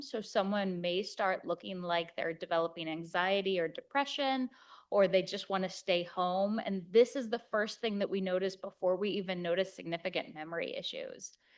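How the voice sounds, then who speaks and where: Quiet background behind a woman with a normal speaking voice at medium pitch and ordinary pitch variation. She keeps a moderate pace with hardly any pauses. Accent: American. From Kansas, USA. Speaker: geriatric physician. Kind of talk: conference lecture.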